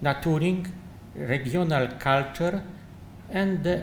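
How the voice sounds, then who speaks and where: With a Polish accent, a man speaks at a very slow pace, showing ordinary pitch variation amid audible room echo. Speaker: architect. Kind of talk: lecture. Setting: conference. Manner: halting.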